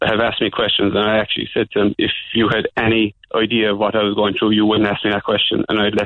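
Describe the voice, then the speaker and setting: Someone talks at a very fast pace with a Cork accent. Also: man. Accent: Cork Irish. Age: 30s. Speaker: caller. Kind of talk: phone-in testimony. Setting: phone call. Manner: halting, repetitive.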